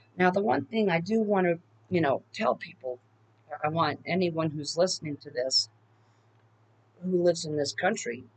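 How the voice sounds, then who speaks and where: With an American accent, a woman speaks in a fairly low pitch at a moderate pace with ordinary pitch variation. She leaves long, frequent pauses. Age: 50s. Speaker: political video blogger. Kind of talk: casual monologue. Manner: halting.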